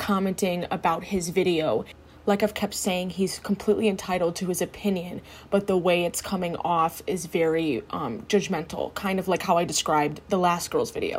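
Somewhat breathy, a woman speaks at a moderate pace. Her pitch is medium and her intonation fairly even. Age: 20s. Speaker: solo podcast host. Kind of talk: casual monologue.

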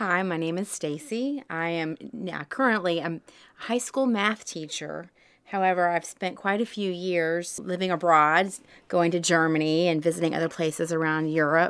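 Moderate pace and ordinary pitch variation, with a Southern US accent. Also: woman, fairly low pitch for a woman. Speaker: guest. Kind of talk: casual chat. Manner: laughs often, chatty.

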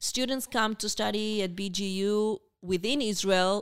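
The speaker has an Argentine accent. Their intonation stays fairly even. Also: woman. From Argentina, Buenos Aires. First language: Spanish. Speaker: university international student program coordinator. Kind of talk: podcast interview.

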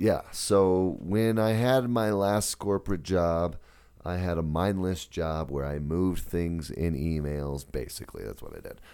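A man talks at a fairly slow pace in a very deep, low voice, his loudness swinging widely while his pitch varies in an ordinary way. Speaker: podcast co-host. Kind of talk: casual chat.

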